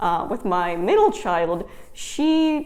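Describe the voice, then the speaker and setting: Audible room echo accompanies a woman speaking in an American accent. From Wisconsin. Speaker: homeschooling mom and vlogger. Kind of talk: casual vlog talk. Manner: conversational with fillers.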